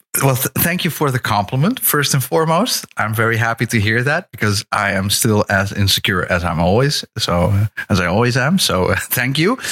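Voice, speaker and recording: With a Dutch accent and a medium pitch, a man speaks with lively intonation at a moderate pace, hardly pausing, at very even loudness, in a dry, close sound with no echo. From Netherlands. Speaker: podcast guest. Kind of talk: casual chat.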